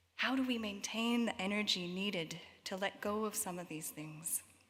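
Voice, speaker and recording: A woman with a Canadian accent speaks in a normal speaking voice with ordinary pitch variation. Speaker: worship leader. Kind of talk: reflective prayer address. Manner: slow.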